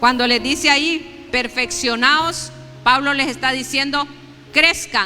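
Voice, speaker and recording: A woman uses a raised, projected voice, high in pitch, at a very slow pace. Noticeable background noise runs underneath. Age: 60s. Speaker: preacher. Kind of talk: sermon.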